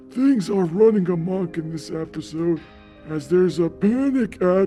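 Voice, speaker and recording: A man does a put-on character voice at a high pitch and a moderate pace. Clear music plays in the background. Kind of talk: theatrical episode intro. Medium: actual play.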